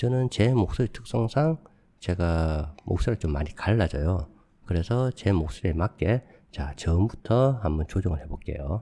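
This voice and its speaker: A man's very deep, low voice, dark and mellow and somewhat breathy, with lively intonation at a moderate pace in a very clean recording with a silent background. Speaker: video editing tutorial youtuber. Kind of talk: tutorial. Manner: casual, conversational.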